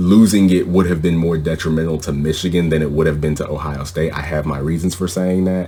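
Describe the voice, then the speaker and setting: A man speaks fairly quickly at a very deep, low pitch, his intonation monotone and flat. Background noise is noticeable. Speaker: sports podcast host. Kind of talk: sports podcast commentary. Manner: opinionated, conversational.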